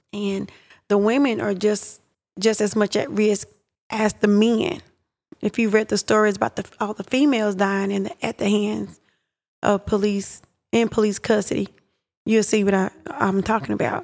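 With an East Texas accent, a woman speaks at a fairly high pitch and a moderate pace, with ordinary pitch variation and long, frequent pauses. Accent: East Texas Southern US. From East Texas (Pittsburgh, Texas). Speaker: home health worker. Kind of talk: casual discussion.

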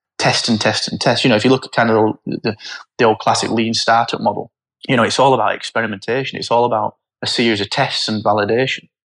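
In a Yorkshire accent, a man speaks very fast, his sound dry and close with no echo. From northern England, Barnsley (South Yorkshire). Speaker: startup founder. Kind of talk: interview.

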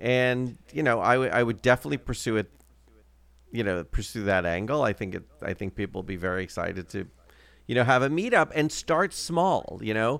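A man's ordinary speaking voice, medium-pitched, with lively intonation at a fairly quick pace. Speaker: podcast co-host. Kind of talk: casual chat. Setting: remote recording.

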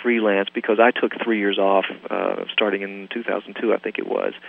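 A man with a medium-pitched voice talks at a moderate speed, noticeable background noise around him. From US South, Southern gospel home. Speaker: music producer. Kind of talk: interview. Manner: halting, many fillers.

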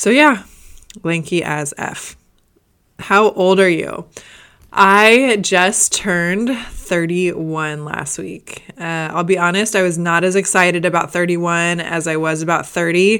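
A woman with a Midwestern American accent speaks fairly low in a bright, sharp tone, with ordinary pitch variation. The recording is very clean, the background silent. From US Midwest, Indiana. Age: 30s. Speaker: fitness podcast host and bikini competitor. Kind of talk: casual Q&A monologue.

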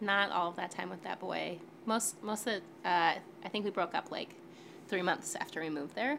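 This woman has an ordinary speaking voice and a medium pitch. She talks at a moderate pace with an American accent. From Western New York. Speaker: podcast participant on a date. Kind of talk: casual chat.

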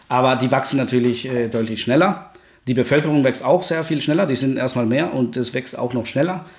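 A man at a medium pitch with ordinary pitch variation, at a fairly quick pace, over noticeable background noise. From Guatemala. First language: Spanish (speaking German). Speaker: energy researcher. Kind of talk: podcast interview. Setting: home study.

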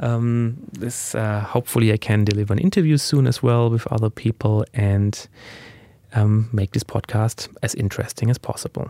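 In a dry, close recording with no echo, a man with a German accent speaks at a moderate pace in a medium pitch, his tone dark and mellow and his intonation fairly even. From Germany. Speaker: podcast host. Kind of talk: solo podcast monologue, casual introduction.

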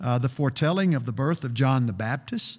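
A man's somewhat breathy voice with lively intonation on a very clean recording with a silent background. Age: 60s. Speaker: preacher. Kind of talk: sermon. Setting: church.

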